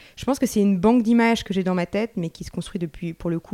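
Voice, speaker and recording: A woman with a dark, mellow tone speaks at a very fast pace in a dry, close sound with no echo. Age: 30s. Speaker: artist. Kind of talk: interview. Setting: at home.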